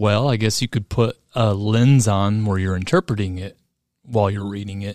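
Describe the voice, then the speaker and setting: It is an unremarkable speaking voice: a man with an American accent, fairly low in pitch, with fairly even intonation at a moderate pace. The recording is very clean with a silent background, and the sound is dry and close with no echo. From Iowa, US Midwest. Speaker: podcast co-host. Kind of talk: casual chat.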